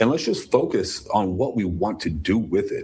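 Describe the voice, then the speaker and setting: Against a quiet background, a man with an American accent speaks at a moderate pace in a medium pitch, sounding somewhat breathy. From US. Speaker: politician. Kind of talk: interview. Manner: animated.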